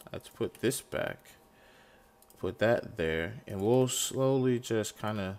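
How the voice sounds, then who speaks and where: A man talks at a very slow pace with ordinary pitch variation. He leaves long, frequent pauses. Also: medium pitch for a man. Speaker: gaming video creator. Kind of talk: gameplay tutorial commentary. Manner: casual, thinking aloud.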